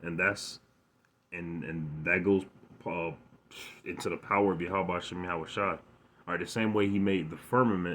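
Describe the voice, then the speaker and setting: A moderate pace broken by long, frequent pauses. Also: man, very deep, low pitch for a man, quiet background. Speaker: bible teacher. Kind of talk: religious lesson. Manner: animated; stuttering, repetitive.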